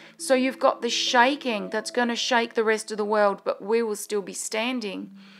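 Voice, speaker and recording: Over music in the background, a woman speaks at a fairly high pitch with fairly even intonation. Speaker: prophetic minister. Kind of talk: prophetic word. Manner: rambling, losing thread.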